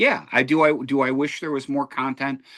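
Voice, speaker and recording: In a quiet background, a man talks at a moderate pace with a bright, sharp tone. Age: 60s. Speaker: podcast host. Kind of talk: casual debate.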